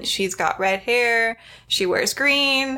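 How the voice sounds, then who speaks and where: A woman's raised, projected voice, bright and sharp in tone, with ordinary pitch variation and a very slow pace. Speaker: podcast host. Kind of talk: casual chat.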